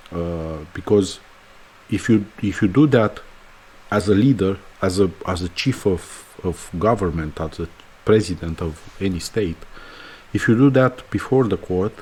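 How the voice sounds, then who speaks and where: With a Romanian accent, a man talks at a fairly slow pace with long, frequent pauses. His voice is fairly low and somewhat breathy, with ordinary pitch variation. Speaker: podcaster. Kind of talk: opinion monologue. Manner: halting.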